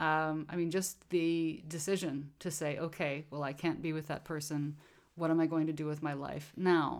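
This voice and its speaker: A woman speaks in a monotone, flat way at a moderate pace, her pitch very deep and low, on a very clean recording with a silent background. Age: 40s. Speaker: artist and puppeteer. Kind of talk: casual chat.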